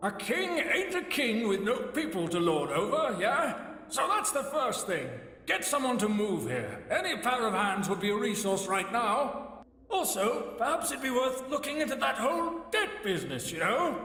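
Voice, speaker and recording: A man uses a put-on character voice at an extremely high pitch. His moderate pace comes with a clear echo. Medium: game stream. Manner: folksy, colloquial, teasing.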